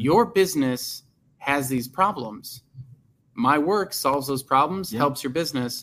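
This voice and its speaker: In an American accent, a man with a plain, everyday voice talks at a moderate pace, fairly high in pitch and with lively intonation. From US Midwest, Chicago suburbs. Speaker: career coach and podcast host. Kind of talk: casual interview chat.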